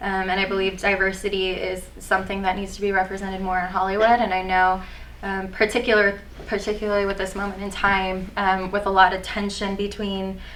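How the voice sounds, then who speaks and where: A woman speaks in an Iranian accent with monotone, flat intonation. Audible room echo surrounds her voice. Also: medium pitch for a woman, fairly quick pace. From US, Persian American family. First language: Farsi. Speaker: aspiring actor. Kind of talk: mock job interview. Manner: hesitant, many fillers.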